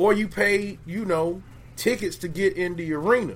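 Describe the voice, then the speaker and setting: A man talks in an animated tone. His pitch shows ordinary variation. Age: 30s. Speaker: podcast host. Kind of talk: casual chat.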